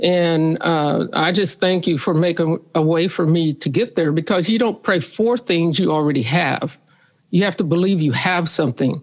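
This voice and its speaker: The woman has a plain, everyday voice with a fairly low pitch and ordinary pitch variation. Her loudness stays very even at a moderate pace. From US Midwest, St. Joseph, Missouri. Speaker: author. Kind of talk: casual chat.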